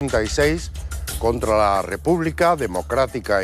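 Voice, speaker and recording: Music plays in the background as a man speaks at a fairly slow pace, his pitch swinging very widely. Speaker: TV interviewer. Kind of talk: TV interview questions.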